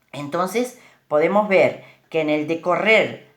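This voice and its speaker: A woman's very slow speech with very wide pitch swings. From Uruguay. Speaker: speaker on bilingualism. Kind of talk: informal talk. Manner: hesitant, with fillers.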